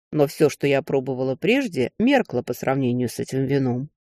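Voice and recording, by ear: The speaker is reading aloud in a natural voice. The intonation is lively.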